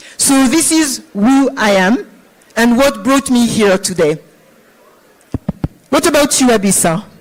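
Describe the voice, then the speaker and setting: Over noticeable background noise, a woman speaks at a fairly slow pace with long, frequent pauses. Her high pitch moves in very wide swings while her loudness stays very even. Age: 50s. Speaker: finance executive. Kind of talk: conference panel talk.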